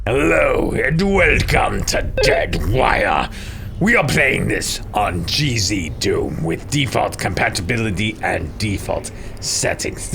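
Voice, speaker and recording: A man talks at a fairly slow pace. Loud background noise runs underneath. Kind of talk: let's-play walkthrough commentary. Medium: solo performance. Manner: formal, deliberate, avoids contractions, wry.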